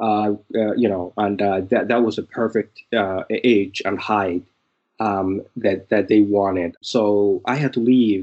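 Speaking with a Somali accent, a man talks at a fairly slow pace. His pitch is fairly low and his intonation fairly even. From Somalia. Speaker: memoir author and former refugee. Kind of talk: interview answers. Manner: halting, hesitant.

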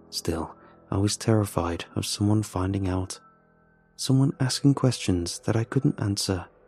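Over background music, a man speaks in a fairly low pitch with a dramatic tone, a fairly slow pace and ordinary pitch variation, the sound dry and close with no echo. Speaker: horror story narrator. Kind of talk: ghost story telling, first-person horror narration. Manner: hushed, tense, dramatic, with halting voices for characters.

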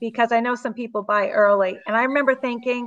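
In a Massachusetts accent, a woman speaks at a high pitch with a bright, sharp tone and ordinary pitch variation. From Southeast Massachusetts.

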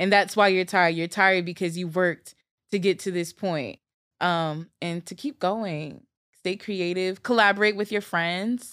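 On a very clean recording with a silent background, a woman with an American accent speaks at a medium pitch and a moderate pace, her intonation fairly even. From Newark, New Jersey. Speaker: DJ and music producer. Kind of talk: casual interview chat.

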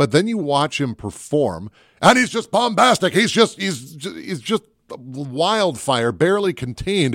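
Playful in tone, a man with an American accent speaks in a high voice with very wide pitch swings at a fairly slow pace. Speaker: movie podcast host. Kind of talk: casual banter podcast chat about movies. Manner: joking, playful.

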